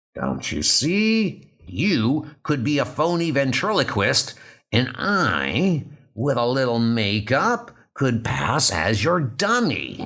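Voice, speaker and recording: Using a put-on character voice at a medium pitch, a man speaks at a very slow pace on a very clean recording with a silent background. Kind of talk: comic book dub, dramatic reading.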